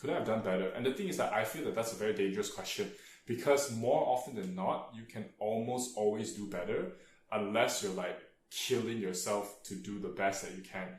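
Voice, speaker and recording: Audible room echo surrounds a man with a fairly low pitch speaking at a fairly quick pace. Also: ordinary pitch variation. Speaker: tutor and vlogger. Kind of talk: casual vlog monologue. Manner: hesitant, many fillers.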